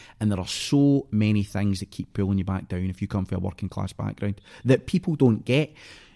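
A man with a Scottish accent and a fairly low pitch, ordinary pitch variation, and a fairly quick pace, recorded very cleanly against a silent background with a dry, close sound and no echo. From Scotland, Clydebank near Glasgow. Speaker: actor. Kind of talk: casual chat. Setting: studio.

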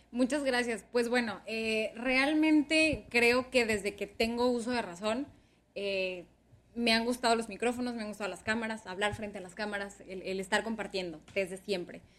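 A woman with an unremarkable speaking voice and a fairly high pitch talks at a moderate pace with ordinary pitch variation. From Sonora, Mexico (Ciudad Obregón). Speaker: communications professional and former radio/TV presenter. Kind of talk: interview.

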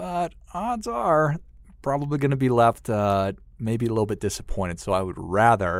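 A man at a moderate pace, with an American accent and ordinary pitch variation, on a very clean recording with a silent background. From US Midwest, northern Minnesota (Duluth). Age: 40s. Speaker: financial advisor. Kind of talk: interview conversation.

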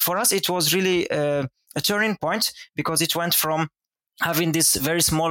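The tone is bright and sharp, and the sound is dry and close with no echo. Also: man. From Morocco. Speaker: wikimedia activist. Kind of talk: casual interview. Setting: video call.

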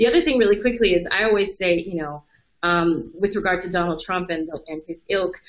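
In a normal speaking voice, a woman talks at a fairly quick pace. Her pitch is medium, with ordinary variation. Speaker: history PhD student. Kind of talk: panel discussion. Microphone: spotty internet connection.

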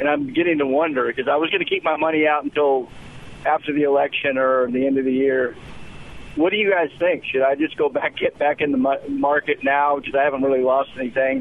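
Noticeable background noise accompanies a man's voice. He talks at a very fast pace with very even loudness. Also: fairly high pitch for a man, fairly even intonation. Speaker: caller. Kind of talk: call-in question. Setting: phone call.

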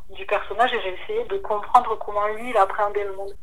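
There is noticeable background noise behind this woman. Her voice sits at a medium pitch with fairly even intonation. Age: 20s. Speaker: novelist. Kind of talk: casual interview.

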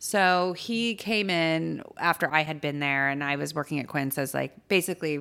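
A voice with a Californian accent and ordinary pitch variation, in a very clean recording over a silent background. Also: woman. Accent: Californian American. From US West Coast, Los Angeles San Fernando Valley. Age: 30s. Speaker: chef and cookbook author. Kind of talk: casual chat. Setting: studio.

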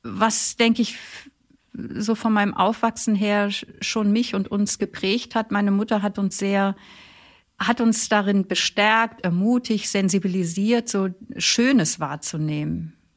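A woman at a medium pitch and a very slow pace, fairly even in intonation, with long, frequent pauses, on a very clean recording with a silent background. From northern Germany, Flensburg Fjord. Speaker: theologian and author, religious sister. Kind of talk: biographical interview.

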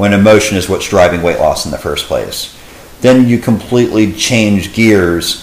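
A man with a Texan accent speaks at a moderate pace over noticeable background noise. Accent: Texan American English. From Texas, Dallas area. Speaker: fitness coach. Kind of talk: casual interview.

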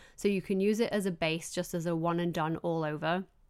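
A woman with a Yorkshire accent, speaking at a moderate pace. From northern England. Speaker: beauty podcast host. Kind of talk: casual chat. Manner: animated.

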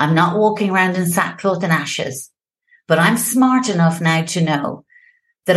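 A somewhat breathy voice in an Irish accent at a moderate pace, with ordinary pitch variation. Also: woman. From Ireland, Limerick. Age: 50s. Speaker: founder of a sobriety support platform. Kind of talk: podcast interview. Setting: home office. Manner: animated.

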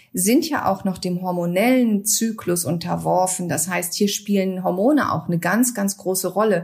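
This woman's voice is somewhat breathy, with ordinary pitch variation. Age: 50s. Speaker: naturopath and fertility counselor, author. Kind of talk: interview. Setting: remote call via app.

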